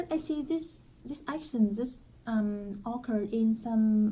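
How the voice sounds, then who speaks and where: With a Vietnamese accent, a woman speaks very slowly in a fairly high pitch, her tone dark and mellow and somewhat breathy. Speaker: student presenter. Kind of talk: student class presentation discussion. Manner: halting.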